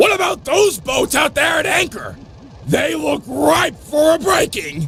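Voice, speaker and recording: Shouting in a put-on character voice, a man speaks at a fairly slow pace over clear background noise. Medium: video game. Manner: eager, boastful.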